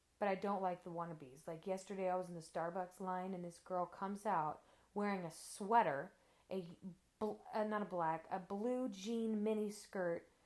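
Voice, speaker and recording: In an American accent, a woman speaks at a moderate pace with a medium pitch and fairly even intonation. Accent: Texan country accent, stronger around family. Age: 20s. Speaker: interviewee. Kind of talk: casual interview chat.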